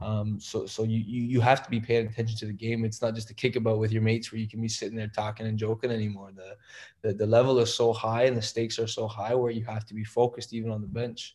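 In a very clean recording with a silent background, a man with a medium pitch talks very fast in a somewhat breathy, monotone, flat voice. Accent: Canadian. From Canada (Toronto and Kitchener, Ontario). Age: 20s. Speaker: professional footballer. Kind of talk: interview. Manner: halting, repeats words.

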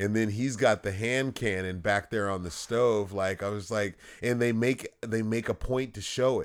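An ordinary speaking voice with an American accent runs on with hardly any pauses and fairly even intonation over a very clean recording with a silent background. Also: man, fairly low pitch for a man, moderate pace. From Los Angeles, US. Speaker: podcast co-host. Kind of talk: casual chat.

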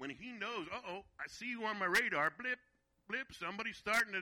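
In an American accent, a man talks in a high-pitched, raised, projected voice with a bright, sharp, animated tone. The pace is fairly quick and the sound dry and close with no echo. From Virginia, US. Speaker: guest preacher. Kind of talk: sermon.

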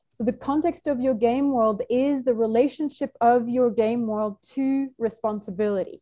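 With an ordinary speaking voice, a woman talks at a moderate pace, her fairly high pitch showing ordinary variation. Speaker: team facilitator. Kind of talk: group facilitation call. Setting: video call.

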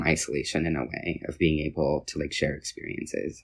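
With vocal fry and fairly even intonation, a man speaks at a very deep, low pitch in a very clean recording with a silent background. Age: 20s. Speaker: slam poet. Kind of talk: interview.

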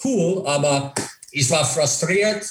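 Speaking at a very slow pace, a man with an English accent sounds somewhat breathy, his pitch varying in an ordinary way. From USA. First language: English (speaking German). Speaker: former ice hockey player and coach. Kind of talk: interview. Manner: halting, many fillers.

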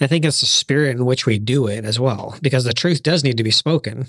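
A man with an ordinary speaking voice talks at a medium pitch. His pace is moderate and his pitch variation ordinary. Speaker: podcast panelist.

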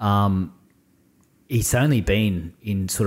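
Fairly even intonation carries this voice with an Australian accent, recorded very cleanly against a silent background. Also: man. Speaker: army veteran and business owner. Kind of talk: casual chat.

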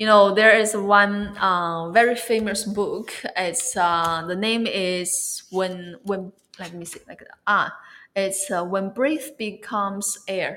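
With a Chinese accent, a woman speaks at a very slow pace and fairly even intonation. Her loudness swings widely. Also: medium pitch for a woman. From China. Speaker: wellness influencer. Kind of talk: interview.

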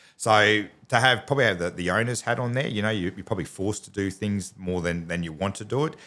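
Speaking at a very fast pace with hardly any pauses, a man with an Australian accent has a fairly low pitch, ordinary pitch variation and a bright, sharp tone. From Australia, Townsville, North Queensland. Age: 40s. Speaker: business owner. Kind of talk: casual interview. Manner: halting, many fillers and repeats.

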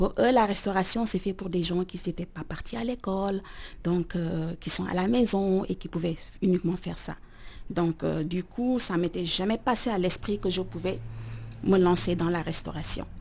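At a moderate pace, a woman speaks at medium pitch in a plain, everyday voice with ordinary pitch variation. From Senegal, Dakar. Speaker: chef. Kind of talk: interview.

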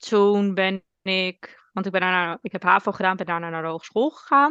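Speaking in a normal speaking voice, a woman talks at a fairly slow pace with medium pitch and ordinary pitch variation, the sound dry and close with no echo against a quiet background. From Netherlands, South Holland (Alphen aan de Rijn). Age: 20s. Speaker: orthomolecular adviser and entrepreneur. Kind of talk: casual interview chat.

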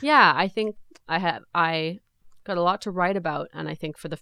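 A woman with an unremarkable speaking voice talks at a fairly low pitch with fairly even intonation, in a Canadian accent. The recording is very clean with a silent background and a dry, close sound with no echo. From England, then Nelson, British Columbia. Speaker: singer-songwriter. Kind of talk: casual interview chat.

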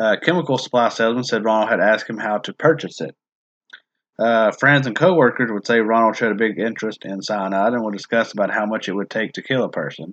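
Against a quiet background, a man has a plain, everyday voice at medium pitch with ordinary pitch variation. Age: 30s. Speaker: true crime podcast host. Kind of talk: casual chat with case narration.

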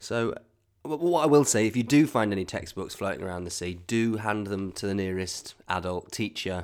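An unremarkable speaking voice from a man, fairly low in pitch, with lively intonation at a moderate pace, on a very clean recording with a silent background. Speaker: improv comedy host. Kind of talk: improvised comedy chat show interview.

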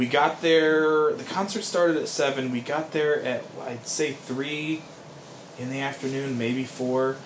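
Amid noticeable background noise and audible room echo, a man speaks at a fairly slow pace. His voice is fairly high for a man, with fairly even intonation. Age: 30s. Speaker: podcast co-host. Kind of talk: casual chat.

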